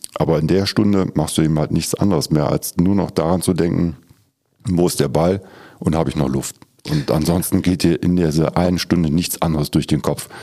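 A man with a very deep, low pitch and vocal fry talks at a fairly quick pace, his tone dark and mellow, his intonation fairly even and his loudness very even. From Lower Rhine, Germany (Schiefbahn). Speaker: utility company department head. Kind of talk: casual interview chat. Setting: studio.

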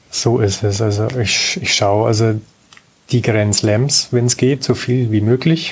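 The delivery is very slow, with very even loudness and fairly even intonation, set against noticeable background noise. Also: man, medium pitch for a man. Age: 50s. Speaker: amateur tennis player. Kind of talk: casual interview.

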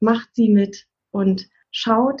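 Her voice is somewhat breathy. This woman's intonation holds fairly even. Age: 40s. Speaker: parenting counselor. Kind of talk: casual interview chat. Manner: warm, encouraging.

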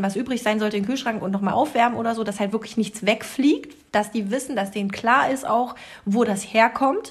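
Noticeable background noise sits behind the voice. It talks fairly quickly, its pitch varying in an ordinary way. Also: woman. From rural Germany. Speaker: podcast co-host. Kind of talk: casual chat.

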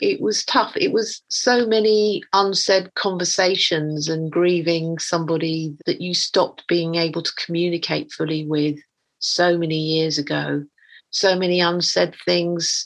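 A woman with an English accent, her pitch fairly low, her intonation fairly even and her pace fairly slow, over a quiet background. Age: 50s. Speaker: artist. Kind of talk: interview.

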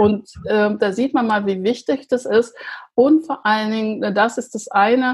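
This woman's voice sits at a fairly high pitch and is somewhat breathy. She talks at a fairly slow pace with ordinary pitch variation. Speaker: podcast host, sugar-free coach. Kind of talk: casual interview.

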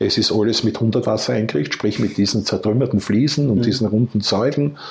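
A man's somewhat breathy, medium-pitched voice with lively intonation at a moderate pace. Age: 60s. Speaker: retired entrepreneur and cancer patient. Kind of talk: interview testimony.

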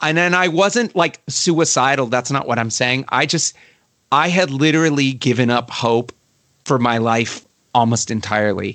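Speaking in a Baltimore accent, a man keeps a medium pitch and moderate pace, with ordinary pitch variation and very even loudness. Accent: American, Baltimore area. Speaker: musician and producer. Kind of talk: interview chat. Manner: casual, filler-heavy.

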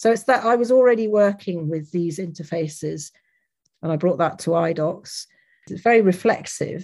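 A woman's fairly low voice with an English accent and ordinary pitch variation. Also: moderate pace. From England, Leicester. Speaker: academic researcher in interactive documentary. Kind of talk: lecture. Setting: online lecture with audience.

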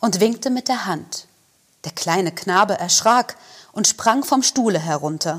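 A woman with medium pitch and lively intonation, at a fairly slow pace. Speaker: actor reading fairy tale aloud. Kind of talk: scripted storytelling, fairy-tale reading.

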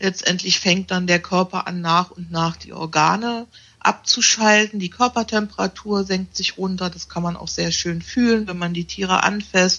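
A woman with a plain, everyday voice talks at a moderate pace and medium pitch, with fairly even intonation, big swings in loudness and hardly any pauses. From Berlin. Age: 50s. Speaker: animal naturopath. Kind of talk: interview conversation.

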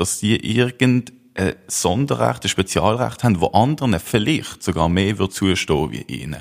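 A man with a fairly low pitch and vocal fry speaks at a fairly slow pace with lively intonation, on a very clean recording with a silent background. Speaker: youth party official, referendum campaigner. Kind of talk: political debate.

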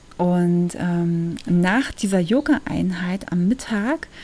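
A woman talks in an ordinary speaking voice at a medium pitch with ordinary pitch variation. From Germany. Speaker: podcast host. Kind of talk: casual monologue. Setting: at home.

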